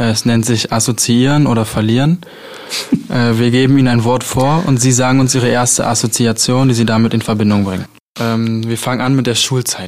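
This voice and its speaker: A normal speaking voice: a man at medium pitch and moderate pace, fairly even in intonation and very even in loudness. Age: 20s. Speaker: student radio host. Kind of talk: radio interview.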